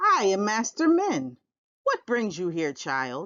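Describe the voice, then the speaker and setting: Using a put-on character voice, a woman at medium pitch talks at a fairly slow pace with very wide pitch swings. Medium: read story. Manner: measured, dignified.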